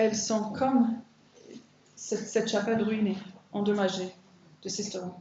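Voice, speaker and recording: Somewhat breathy and fairly high-pitched, a woman talks at a fairly slow pace with audible room echo. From Ireland. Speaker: biblical counselor and women's conference speaker. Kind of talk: sermon.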